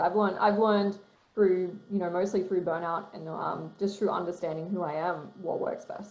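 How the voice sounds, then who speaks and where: Over noticeable background noise and audible room echo, a woman talks very fast at a medium pitch. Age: 30s. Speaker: writer and author. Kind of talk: interview.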